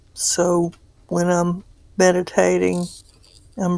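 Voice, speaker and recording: The tone is gentle and calm, at a very slow pace. The sound is dry with no echo over a quiet background. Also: woman. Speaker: meditation guide. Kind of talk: guided meditation. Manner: gentle, calm, unhurried, reassuring; relaxed and encouraging. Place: home room.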